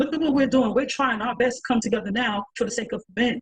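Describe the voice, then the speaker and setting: Her pitch moves in an ordinary way as this woman talks. There is a somewhat breathy quality to her voice. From New York. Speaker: podcast panelist. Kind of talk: panel discussion. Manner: animated.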